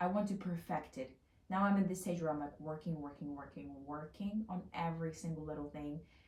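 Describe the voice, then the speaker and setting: A woman at a fairly quick pace, with ordinary pitch variation and noticeable background noise. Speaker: lifestyle vlogger. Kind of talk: casual vlog monologue. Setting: home, on bed. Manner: intense, loud; animated, fast.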